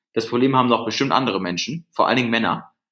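This is a man speaking at a medium pitch. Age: 20s. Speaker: company founder. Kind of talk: interview. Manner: halting.

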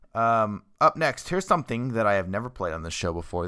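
In a normal speaking voice, a man talks at a fairly low pitch with ordinary pitch variation, on a very clean recording with a silent background. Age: 30s. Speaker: radio host. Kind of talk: radio DJ links. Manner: casual, filler-heavy.

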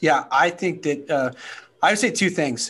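A man with a plain, everyday voice and an American accent, fairly quick pace, ordinary pitch variation. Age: 30s. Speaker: podcast host. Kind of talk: interview.

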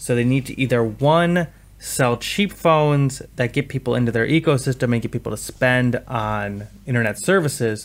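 In a very clean recording with a silent background, a man talks in an ordinary speaking voice at a moderate pace. His pitch is medium, with ordinary variation. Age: 30s. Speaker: podcast host on tech investing. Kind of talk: casual chat.

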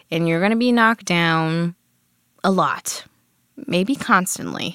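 A woman with an American accent and a plain, everyday voice speaks at a fairly slow pace with lively intonation, in a very clean recording with a silent background. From Cleveland, Ohio. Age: 20s. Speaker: fashion designer. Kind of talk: interview.

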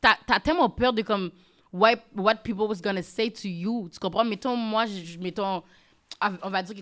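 A woman with a plain, everyday voice speaks at a medium pitch and a fairly quick pace, with ordinary pitch variation. The recording is very clean, with a silent background. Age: young. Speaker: influencer and podcaster. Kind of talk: casual interview.

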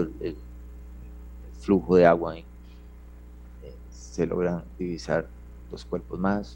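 A man's dark, mellow tone at a fairly slow pace, with very wide pitch swings. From Costa Rica, San Ramón. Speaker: Red Cross rescuer and ambulance driver. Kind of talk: interview testimony. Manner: halting, repeats words.

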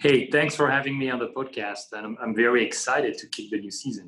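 A man with a French accent at a fairly quick pace. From France, Paris area. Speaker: sustainability entrepreneur. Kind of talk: podcast interview. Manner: halting, many fillers and repeats.

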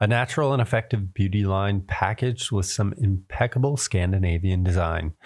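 Pitched fairly low, a man with a normal speaking voice talks using lively intonation. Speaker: podcast host. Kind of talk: interview conversation.

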